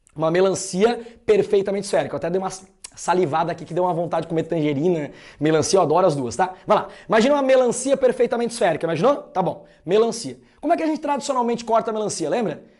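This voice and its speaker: Animated in tone, a man with a high pitch and lively intonation speaks at a very fast pace. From interior of Santa Catarina, southern Brazil. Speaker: math teacher. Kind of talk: lecture.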